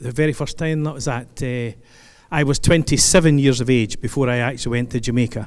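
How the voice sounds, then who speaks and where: A man speaks at a fairly quick pace with a Scottish accent, his medium pitch held in a fairly even intonation. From Scotland, Stirling. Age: 60s. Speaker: keynote speaker, retired police officer. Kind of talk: speech to audience. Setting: stage with audience. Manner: conversational, humorous asides.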